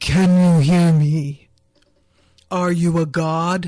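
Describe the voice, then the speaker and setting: A booming, put-on character voice at a middle pitch drags along at a very slow pace in a flat, monotone delivery. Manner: booming, close to the microphone.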